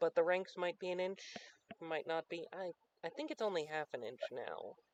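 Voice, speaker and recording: A soft-spoken voice with lively intonation, delivered at a moderate pace. The sound is dry and close, with no echo. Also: man, high pitch for a man. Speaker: livestreamer and tabletop wargame player. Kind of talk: casual chat.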